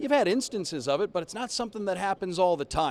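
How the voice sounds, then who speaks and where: Lively in intonation, a man speaks in a dry, close sound with no echo. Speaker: radio play-by-play announcer for hockey team. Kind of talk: sports interview answer, conversational analysis.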